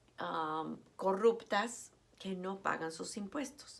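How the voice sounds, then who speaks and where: Very slow female speech with ordinary pitch variation and audible room echo. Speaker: teacher. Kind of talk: lecture. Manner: hesitant, many fillers.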